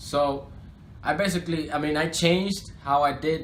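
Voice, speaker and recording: In a Spanish accent, a man speaks with fairly even intonation, and audible room echo surrounds his voice. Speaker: rapper. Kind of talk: interview. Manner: casual, filler-heavy.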